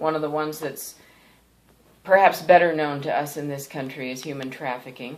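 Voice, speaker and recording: With an American accent and a very deep, low pitch, a woman talks at a fairly quick pace with fairly even intonation and big swings in loudness, in audible room echo. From Thailand (Bangkok), American missionary family. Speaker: pastor. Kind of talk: testimony. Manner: hesitant with fillers.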